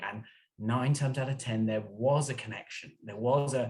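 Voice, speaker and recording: A man with an English accent talks at a fairly quick pace, his voice somewhat breathy and his intonation fairly even. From England (London). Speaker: author and journalist. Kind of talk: interview.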